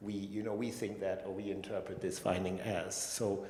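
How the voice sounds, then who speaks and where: Someone with a German accent speaks at a moderate pace, with audible room echo and noticeable background noise. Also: man. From Germany. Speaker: neuroscientist. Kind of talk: panel discussion. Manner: halting.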